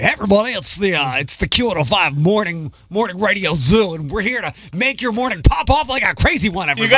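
Guttural and high-pitched, a man's put-on character voice runs at a fairly quick pace. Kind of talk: hokey, upbeat.

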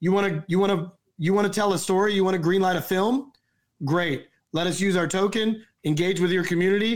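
A man with an American accent speaks at a fairly quick pace in a high pitch, with fairly even intonation and very even loudness. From US South. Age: 40s. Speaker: film producer and actor. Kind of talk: casual chat.

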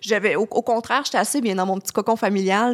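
Speaking at a very fast pace, a woman's voice sits at a fairly high pitch. Her pitch varies in an ordinary way. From Quebec, Lac-Saint-Jean. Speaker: travel journalist. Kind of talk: interview. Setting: studio.

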